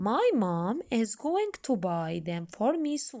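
With a Jordanian accent, a woman talks fairly slowly in a high voice with a dark, mellow tone and very wide pitch swings. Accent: Levantine (Jordanian) Arabic. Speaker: English teacher. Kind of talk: lesson with reading aloud. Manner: slow, repetitive didactic.

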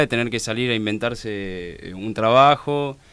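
A man speaks with a Rioplatense accent. His delivery is very slow, with ordinary pitch variation. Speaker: social activist. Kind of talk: radio interview. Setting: studio. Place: studio. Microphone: studio mic.

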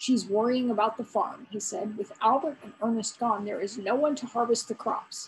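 Someone reads aloud in a plain way.

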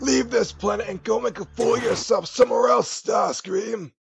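A man in a put-on character voice at a moderate pace, with music in the background. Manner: commanding, scornful.

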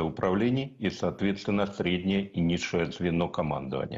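A man's very deep, low voice against a quiet background. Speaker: military-political analyst. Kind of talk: TV news interview. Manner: formal. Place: home room. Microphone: video call.

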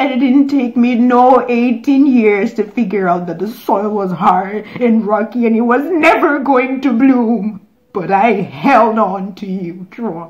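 Against a quiet background, a woman speaks with her pitch shifting in an ordinary way. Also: fairly slow pace. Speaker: actor. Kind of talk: dramatic monologue performance. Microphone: phone near.

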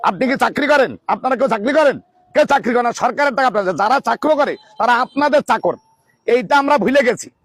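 A man with an extremely high pitch and ordinary pitch variation speaks at very even loudness, in a dry, close sound with no echo. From Bangladesh, Jhenaidah district. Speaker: political candidate. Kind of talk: campaign speech. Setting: gathering of workers during a meal. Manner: animated.

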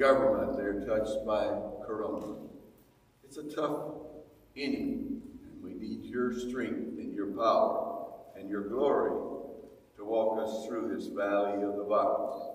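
A man speaks with long, frequent pauses and big swings in loudness. Audible echo fills the room. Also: fairly slow pace. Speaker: pastor. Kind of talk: prayer then announcements. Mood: earnest prayer, then relaxed. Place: hall. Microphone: camera far.

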